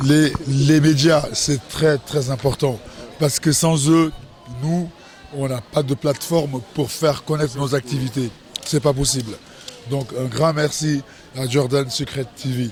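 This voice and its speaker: Very slow delivery with long, frequent pauses over music in the background. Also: man. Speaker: festival organizer. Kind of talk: event interview. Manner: animated.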